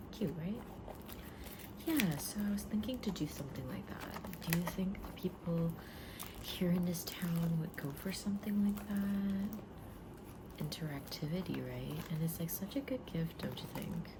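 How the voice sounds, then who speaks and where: Against noticeable background noise, a soft-spoken woman talks at a fairly low pitch with ordinary pitch variation. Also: moderate pace. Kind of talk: ASMR shop role-play.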